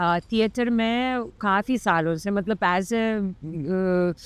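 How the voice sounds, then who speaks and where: On a very clean recording with a silent background, a woman speaks in a Lithuanian accent at a medium pitch. The sound is dry and close with no echo, and her pitch variation is ordinary. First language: Lithuanian (speaking Hindi). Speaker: Hindi teacher and classical dancer. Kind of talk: interview conversation. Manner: halting, with fillers.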